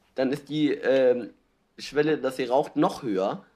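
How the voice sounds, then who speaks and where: Showing vocal fry, a man talks at a moderate pace. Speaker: podcast co-host. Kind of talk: casual chat.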